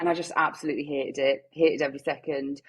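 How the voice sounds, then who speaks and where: A woman with a strong Geordie accent. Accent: thick Geordie. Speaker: newborn photographer. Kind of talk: podcast interview. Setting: video call.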